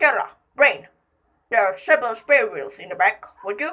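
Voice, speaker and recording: In a put-on character voice, a woman speaks at a high pitch and a moderate pace. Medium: read story. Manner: earnest, cheerfully oblivious.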